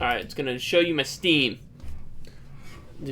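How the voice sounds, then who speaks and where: A man's ordinary speaking voice with ordinary pitch variation, at a moderate pace. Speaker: streamer. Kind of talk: gameplay commentary; reading aloud. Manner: casual.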